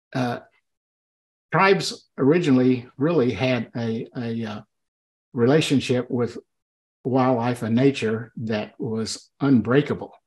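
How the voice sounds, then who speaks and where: Against a quiet background, a speaker with an Oklahoma accent leaves long, frequent pauses. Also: man, ordinary pitch variation, fairly slow pace. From Oklahoma, US. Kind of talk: casual chat. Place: home room. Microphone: webcam.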